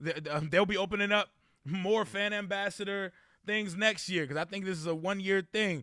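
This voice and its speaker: A man's raised, projected voice, high-pitched with a bright, sharp tone and fairly even intonation, on a very clean recording with a silent background. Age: 30s. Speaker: sports fan YouTuber. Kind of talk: casual chat.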